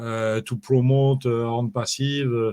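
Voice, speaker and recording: A man with a French accent, fairly slow and monotone, with a dark, mellow tone, in a very clean recording over a silent background. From France. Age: 60s. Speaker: network marketing promoter, former DJ. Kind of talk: interview. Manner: halting, many fillers.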